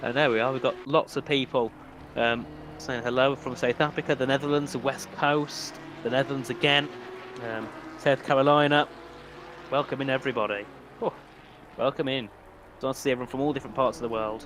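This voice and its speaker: A man with a British accent at medium pitch, fairly even in intonation, with long, frequent pauses over noticeable background noise. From UK. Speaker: sim racing commentator. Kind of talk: live commentary. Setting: live stream. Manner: casual, chatty.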